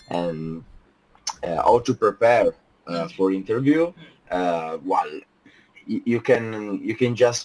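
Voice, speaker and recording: A man speaks with an Italian accent at a very slow pace. Long pauses come often between his words. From Italy. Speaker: software team leader. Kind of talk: interview. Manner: halting, many fillers.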